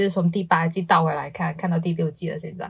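Captured on a very clean recording with a silent background, a woman speaks in a somewhat breathy voice. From Guangdong, China. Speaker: podcast co-host. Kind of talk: casual chat.

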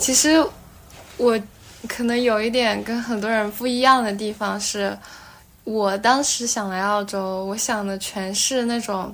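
A fairly high-pitched woman at a fairly slow pace, with fairly even intonation, long, frequent pauses and audible room echo. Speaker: doctor turned working holiday backpacker. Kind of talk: casual interview chat.

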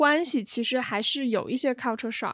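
Fairly high in pitch, a woman speaks in an unremarkable speaking voice. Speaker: podcast co-host. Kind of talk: casual chat.

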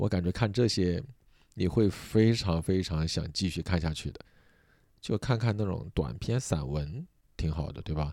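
A man with a Sichuan accent speaks fairly slowly in a very deep, low pitch with a dark, mellow tone and lively intonation. The recording is very clean, with a silent background. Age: 30s. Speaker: podcast host and comedian. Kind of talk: sleep-aid casual chat.

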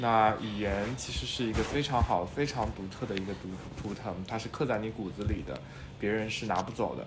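A man with a normal speaking voice, a fairly low pitch, a moderate pace and ordinary pitch variation. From Shanghai. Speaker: podcast co-host. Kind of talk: casual chat.

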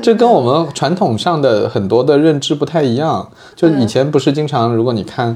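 With noticeable background noise behind him, a man speaks at a moderate pace in a fairly high pitch with lively intonation. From southern Jiangsu countryside. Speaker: podcast host. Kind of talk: casual chat. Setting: studio. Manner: animated.

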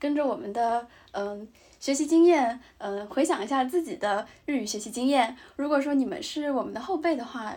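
On a very clean recording with a silent background, a woman with a dark, mellow tone and high pitch speaks at a moderate pace with ordinary pitch variation. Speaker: podcast co-host, graduate student in Japan. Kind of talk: casual chat. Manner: halting with many fillers.

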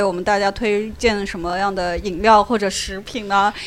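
Talking at a moderate pace, a woman has an unremarkable speaking voice at a medium pitch. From Shanxi, China. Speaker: podcast host. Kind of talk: casual chat. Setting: in a bar.

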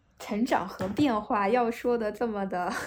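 The pitch variation is ordinary. Noticeable background noise can be heard. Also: woman. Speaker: state-owned company office worker. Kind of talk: casual chat.

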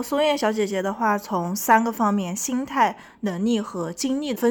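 A woman speaks at a moderate pace in a fairly high pitch with ordinary pitch variation. She has a normal speaking voice, and the recording is very clean with a silent background. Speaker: podcast host and entrepreneur. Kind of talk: interview.

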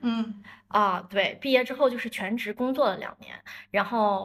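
A plain, everyday voice from a woman, fairly high in pitch, with ordinary pitch variation, on a very clean recording with a silent background. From northern China, Dalian. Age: 30s. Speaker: marketing entrepreneur. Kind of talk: casual chat.

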